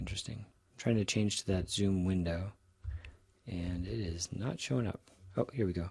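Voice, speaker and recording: Somewhat breathy and very deep in pitch, a man speaks with ordinary pitch variation, big swings in loudness, and long, frequent pauses. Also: moderate pace. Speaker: statistics professor. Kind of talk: recorded lecture tutorial. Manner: casual with fillers and restarts.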